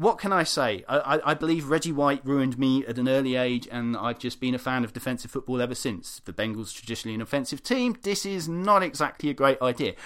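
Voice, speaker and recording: With a British accent, a man at medium pitch speaks at a very fast pace with hardly any pauses and lively intonation, in a very clean recording with a silent background. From UK. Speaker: football blog editor and podcast co-host. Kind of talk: casual chat.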